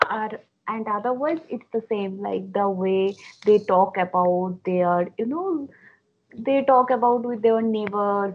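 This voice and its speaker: A woman's fairly high voice with a Bengali accent, ordinary pitch variation and a fairly slow pace. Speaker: book blogger guest. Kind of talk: casual interview chat.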